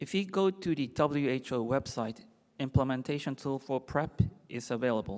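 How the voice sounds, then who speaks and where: On a very clean recording with a silent background, a man with a Japanese accent talks at a moderate pace, medium pitch and ordinary pitch variation. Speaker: infectious disease doctor. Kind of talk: conference lecture. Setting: symposium stage with audience.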